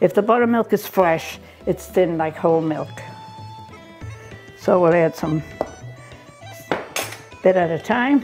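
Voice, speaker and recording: A woman's fairly low, fairly slow voice with long, frequent pauses and faint music in the background. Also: ordinary pitch variation. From Ireland. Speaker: grandmother home cook. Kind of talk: cooking demonstration. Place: kitchen. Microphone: lapel.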